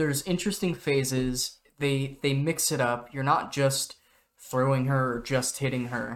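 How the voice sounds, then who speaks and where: Fairly high in pitch, a man talks at a fairly slow pace in an unremarkable speaking voice with fairly even intonation. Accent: American. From US, Oregon. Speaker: video game podcast co-host. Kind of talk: casual chat.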